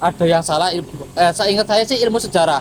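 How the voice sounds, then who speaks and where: This man speaks with a high pitch and fairly even intonation. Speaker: university student. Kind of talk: interview answer.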